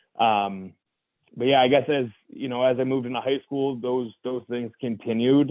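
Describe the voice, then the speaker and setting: A man with an American accent, medium pitch and a monotone, flat delivery. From US, Ohio and Massachusetts. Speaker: bodybuilder and manager. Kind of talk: personal testimony in podcast interview. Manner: halting, many fillers and repeats.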